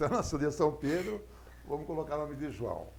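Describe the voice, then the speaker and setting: Audible room echo fills the space. A man talks with vocal fry. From Itapevi, São Paulo, Brazil. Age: 60s. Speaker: politician. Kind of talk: casual interview.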